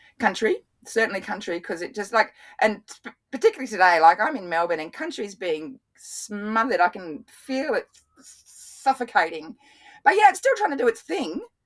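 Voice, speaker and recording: A woman with an Australian accent, fairly high in pitch, at a moderate pace, with very wide pitch swings and big swings in loudness. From Australia, Brisbane. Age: 50s. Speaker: water scientist. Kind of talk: interview. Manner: animated.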